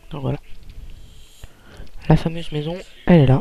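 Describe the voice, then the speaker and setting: Quiet and calm in tone, a man with a fairly high pitch speaks over noticeable background noise. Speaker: gaming youtuber. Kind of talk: let's play commentary. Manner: quiet, calm; hesitant, many fillers. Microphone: too quiet.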